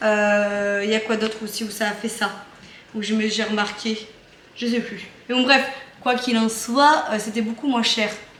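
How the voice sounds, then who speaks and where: A woman speaks at a fairly high pitch with fairly even intonation. Noticeable background noise and audible room echo fill the recording. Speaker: family vlogger. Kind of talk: casual vlog talk. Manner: hesitant, many fillers.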